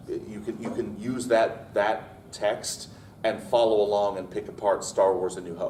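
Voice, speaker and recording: Room echo can be heard around a man's voice. He speaks at a moderate pace. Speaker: writing panelist. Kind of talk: convention panel talk. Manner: loud.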